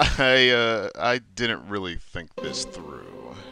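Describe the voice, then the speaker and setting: A man does a put-on character voice, raspy and at medium pitch, delivered at a very slow pace. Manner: sarcastic, dismissive.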